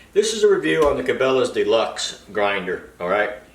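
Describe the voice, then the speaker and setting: Fairly quick speech with audible room echo. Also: man. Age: 60s. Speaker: product reviewer, home sausage maker. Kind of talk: casual product review video. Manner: casual, conversational with fillers.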